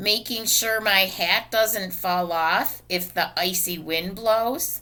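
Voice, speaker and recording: This is a put-on character voice with a raspy quality. It moves at a very slow pace. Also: woman, medium pitch for a woman. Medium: read story. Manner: proud, insistent.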